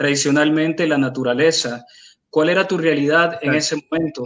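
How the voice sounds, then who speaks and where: An ordinary speaking voice from a man, fairly high-pitched, with fairly even intonation at a moderate pace. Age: 40s. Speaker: literary critic. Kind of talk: book presentation.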